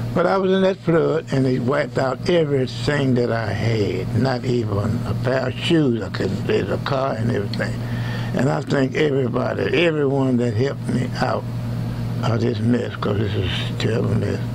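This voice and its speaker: A man speaks at a moderate pace over noticeable background noise. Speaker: blues pianist. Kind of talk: thank-you message to camera. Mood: grateful, warm. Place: studio. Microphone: lapel.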